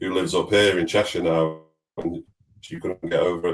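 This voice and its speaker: A man with a very deep, low pitch and a slight Manchester accent, talking at a fairly quick pace. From northern England, Manchester. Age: 40s. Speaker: fintech executive. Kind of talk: podcast interview.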